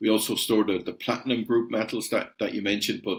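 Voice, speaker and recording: A man's medium-pitched voice with an Irish accent in a very clean recording with a silent background. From Ireland. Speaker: company CEO. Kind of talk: podcast interview. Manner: hesitant, many repeated words.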